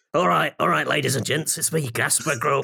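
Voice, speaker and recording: Using a put-on character voice, a man sounds raspy and fairly high-pitched at a moderate pace. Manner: showy, stage comedian.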